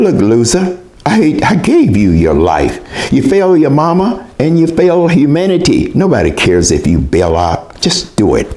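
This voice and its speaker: Noticeable background noise sits behind the recording. A man talks at a moderate pace with very even loudness. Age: 80s+. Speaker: mental health talk speaker. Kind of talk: personal commentary talk.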